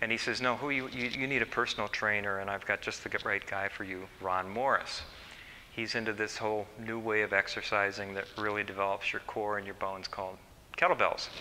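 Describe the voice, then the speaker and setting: An ordinary speaking voice from a man, fairly low in pitch, with fairly even intonation at a fairly quick pace. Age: 60s. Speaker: psychologist and seminar speaker. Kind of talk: seminar talk. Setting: seminar with live audience.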